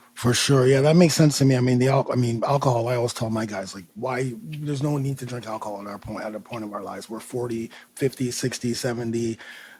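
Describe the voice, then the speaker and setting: Amid noticeable background noise, a man speaks very fast with hardly any pauses at medium pitch, his intonation fairly even while his loudness swings widely. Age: 50s. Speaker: fitness coach and podcast host. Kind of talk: podcast interview.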